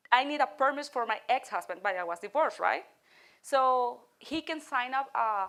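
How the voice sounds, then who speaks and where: A woman's high voice at a moderate pace. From Venezuela. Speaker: guest presenter. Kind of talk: audience Q&A. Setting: community event with audience. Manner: halting.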